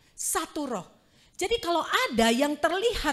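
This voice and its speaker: Very wide pitch swings in a woman's voice. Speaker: preacher. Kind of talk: sermon. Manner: conversational.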